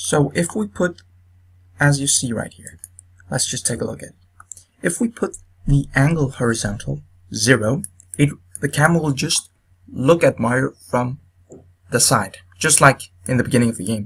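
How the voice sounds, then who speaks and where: Somewhat breathy, a man with a non-native accent and medium pitch speaks at a moderate pace with ordinary pitch variation, long, frequent pauses and big swings in loudness. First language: not English. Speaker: video game tutorial maker. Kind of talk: tutorial. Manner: halting, many fillers.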